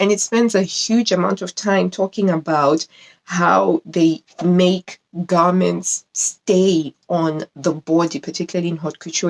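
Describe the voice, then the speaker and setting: A woman speaks with a non-native accent at a fairly low pitch, her tone animated and her pitch varying in an ordinary way. The sound is dry and close, with no echo. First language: not English. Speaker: sewing YouTuber. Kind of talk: casual video review. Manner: halting.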